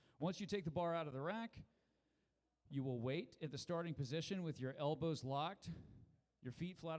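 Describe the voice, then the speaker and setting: Lively intonation and a fairly high pitch mark this man's speech, which runs at a moderate pace. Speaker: powerlifting meet announcer. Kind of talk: rules briefing. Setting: PA system at live powerlifting meet. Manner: loud.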